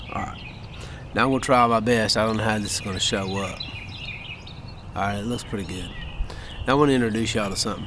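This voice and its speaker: A man with a fairly low pitch and an American accent talks at a very fast pace with fairly even intonation and long, frequent pauses. Audible room echo and noticeable background noise surround him. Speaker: gun video vlogger. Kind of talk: casual vlog monologue. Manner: folksy, conversational.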